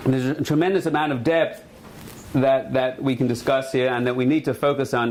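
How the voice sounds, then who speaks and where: The speech keeps fairly even intonation, with audible room echo and noticeable background noise in the recording. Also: man. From Australia. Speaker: rabbi. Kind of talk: lecture. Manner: casual, humorous.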